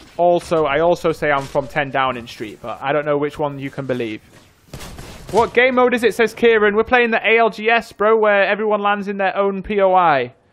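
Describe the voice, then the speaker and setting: Speaking fairly quickly with a Yorkshire accent, a man uses a high pitch that swings very widely. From northern England, North Yorkshire; northern England. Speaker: gaming streamer. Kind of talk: casual livestream chat. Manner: casual, rambling with fillers. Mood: joking, playful. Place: home room. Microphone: studio mic.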